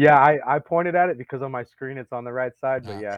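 Here a man talks fairly quickly in an unremarkable speaking voice with an American accent. His pitch variation is ordinary. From Montana. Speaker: army veteran and solar consultant. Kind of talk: casual interview.

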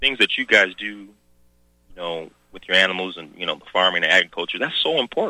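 A man with a very deep, low voice and an American accent, talking very fast, his pitch varying in the ordinary way and his loudness swinging widely. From US South. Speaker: radio talk show host. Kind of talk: political call-in talk radio. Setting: radio studio. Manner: halting, many repetitions.

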